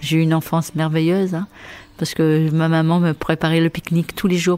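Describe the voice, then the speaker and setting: The speech moves at a fairly quick pace in a flat monotone. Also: woman. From Porquerolles, Provence, southern France. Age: 60s. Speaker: retired nursery worker. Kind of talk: interview conversation. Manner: halting.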